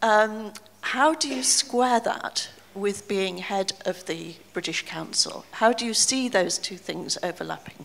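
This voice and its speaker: A woman speaks very slowly at a fairly high pitch. Her voice shows vocal fry and ordinary pitch variation. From Britain. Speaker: journalist interviewer. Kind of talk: interview.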